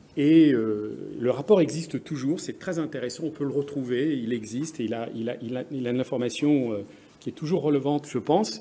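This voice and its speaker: Here a man talks at a fairly quick pace with an English accent. His tone is dark and mellow, with a fairly high pitch. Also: ordinary pitch variation. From France. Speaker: business executive, conference speaker. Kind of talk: conference presentation. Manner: halting, many hesitations.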